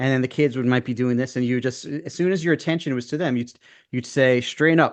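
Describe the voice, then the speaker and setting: Over a quiet background, a man with a Brooklyn accent talks at a very fast pace and medium pitch with fairly even intonation. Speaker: former public school teacher, podcast co-host. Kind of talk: casual chat. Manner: halting, many fillers and restarts.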